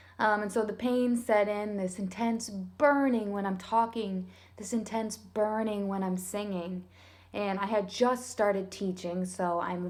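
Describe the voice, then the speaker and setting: A woman's medium-pitched voice at a fairly slow pace, fairly even in intonation, with audible room echo. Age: 30s. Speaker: singer and teacher recovering from voice disorder. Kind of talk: personal testimony vlog. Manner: soft-spoken; hesitant, filler-heavy.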